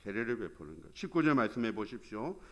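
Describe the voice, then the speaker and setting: A man with a Gyeongsang accent in a very clean recording over a silent background. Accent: Gyeongsang dialect Korean. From Gyeongsang region, South Korea. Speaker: pastor. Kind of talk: sermon. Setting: church.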